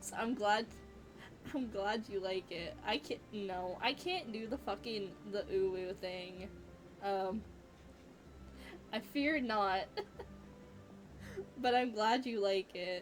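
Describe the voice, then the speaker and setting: Over music in the background, a woman speaks at a very slow pace with long, frequent pauses and ordinary pitch variation. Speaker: game streamer. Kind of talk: casual chat.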